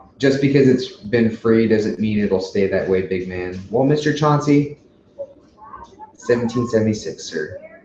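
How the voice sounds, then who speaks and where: At a moderate pace, the speaker talks with an American accent over noticeable background noise. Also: man. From Chicago, US Midwest. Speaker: YouTuber, livestream host. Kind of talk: live Q&A stream, casual chat. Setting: livestream. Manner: casual, swearing, with fillers.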